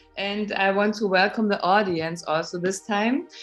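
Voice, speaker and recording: Music can be heard behind the speaker. The tone holds fairly even throughout. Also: woman. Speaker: interfaith talk show host. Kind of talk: interview host questions.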